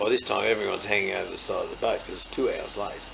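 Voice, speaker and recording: Over noticeable background noise, a man talks with a strong Australian accent. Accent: broad Australian. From Australia, rural New South Wales (Leeton). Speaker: farmer and agricultural trade representative. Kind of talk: storytelling interview.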